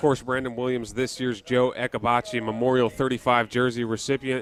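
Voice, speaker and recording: Very fast speech over noticeable background noise. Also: man. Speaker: color commentator and sideline interviewer. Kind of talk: sports color commentary and interview questions.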